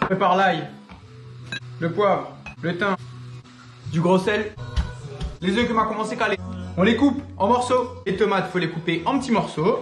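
Clear music plays behind a man with a high voice who speaks at a moderate pace with long, frequent pauses in a room with audible echo. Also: ordinary pitch variation. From Réunion. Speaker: home cook. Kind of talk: humorous cooking video narration. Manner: joking, casual. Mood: playful, joking. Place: kitchen.

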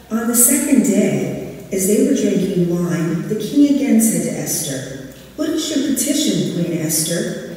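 A fairly slow pace amid strong room echo. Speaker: scripture reader. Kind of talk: scripture reading. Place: church. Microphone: camera far.

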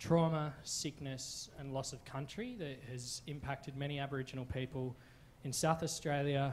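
Breathing audibly through a monotone, flat delivery, a man speaks at a moderate pace in a somewhat breathy voice. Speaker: witness. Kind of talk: public presentation. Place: hall. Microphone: handheld.

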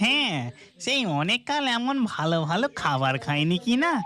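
Pitched fairly high, a cartoonish character voice leaps through very wide pitch swings. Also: fairly slow pace. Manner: comic, greedy exclamations.

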